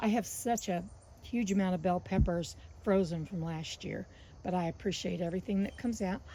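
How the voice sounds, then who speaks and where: A woman's somewhat breathy voice, dark and mellow in tone, with ordinary pitch variation. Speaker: gardening vlogger. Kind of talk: casual vlog. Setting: outdoors in garden. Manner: low energy, relaxed.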